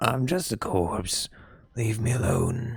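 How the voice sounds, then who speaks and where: A man puts on a character voice at a medium pitch. It sounds raspy. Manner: gruff, brushing someone off.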